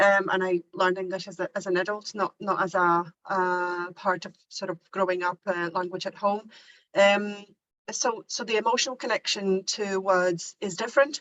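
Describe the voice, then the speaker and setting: A woman's medium-pitched voice moves at a moderate pace, her intonation fairly even. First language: Polish. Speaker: university teacher. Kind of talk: workshop discussion. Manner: halting, many repetitions.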